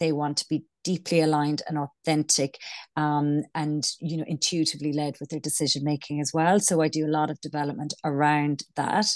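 The speech moves at a moderate pace. The sound is dry and close, with no echo. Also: woman. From Ireland. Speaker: business coach and founder. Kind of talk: casual interview chat. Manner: hesitant, filler-heavy.

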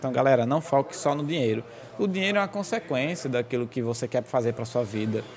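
At a fairly quick pace, a man talks at a medium pitch with lively intonation. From Brazil, Goianinha, Rio Grande do Norte. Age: 20s. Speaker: banker and real estate broker. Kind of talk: casual interview. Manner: laughing a lot.

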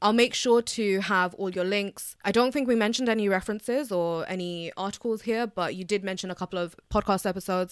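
On a very clean recording with a silent background, a woman with an unremarkable speaking voice talks at medium pitch and a fairly quick pace, with ordinary pitch variation and hardly any pauses. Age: 20s. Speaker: podcast host, student nutritionist. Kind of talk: interview.

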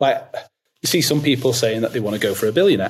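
A man talks at a very fast pace with a medium pitch. His voice is somewhat breathy. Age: 30s. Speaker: eCommerce brand founder. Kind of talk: interview conversation.

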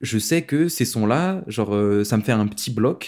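This man's pitch swings very widely as he talks fairly slowly. A silent background makes for a very clean recording. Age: 20s. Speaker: DJ. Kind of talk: interview. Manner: hesitant, many fillers.

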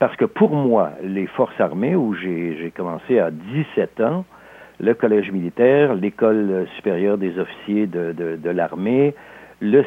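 At a very slow pace, a man with a fairly low pitch speaks with lively intonation. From Alsace, France, then Quebec from age 10. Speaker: novelist and sports historian. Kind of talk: interview.

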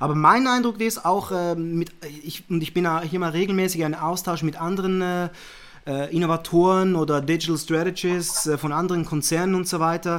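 A man talks in a high voice. His pace is moderate. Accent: Zurich. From Zurich, Switzerland. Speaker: managing director, media and innovation manager. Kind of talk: casual interview chat.

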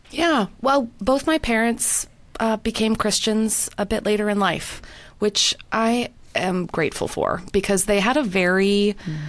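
Using a Canadian accent, a woman with an unremarkable speaking voice and a fairly high pitch talks at a fairly slow pace with ordinary pitch variation. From Canada. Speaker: professor and author. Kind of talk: interview conversation. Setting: video call.

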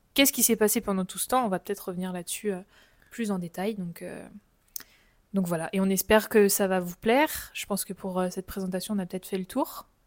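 Talking at a fairly quick pace but with long, frequent pauses, a woman uses ordinary pitch variation on a very clean recording with a silent background and a dry, close sound with no echo. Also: medium pitch for a woman. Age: 20s. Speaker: travel podcast co-host. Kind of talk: casual chat.

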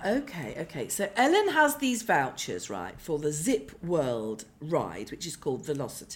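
A woman speaks at a moderate pace. Her pitch is low, with big swings up and down.

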